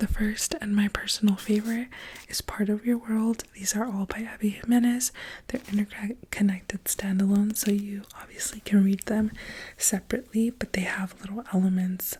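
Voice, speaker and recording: Soft-spoken, a woman talks at a moderate pace and medium pitch with fairly even intonation. There is noticeable background noise. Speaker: ASMR creator, book reviewer. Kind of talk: book review, ASMR soft speaking.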